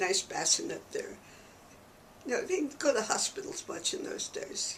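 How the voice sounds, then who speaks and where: Speaking at a moderate pace in an American accent, a woman uses an extremely high pitch with very wide pitch swings. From New York City. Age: 90s. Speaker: church archivist and historian. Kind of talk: oral history interview. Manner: conversational.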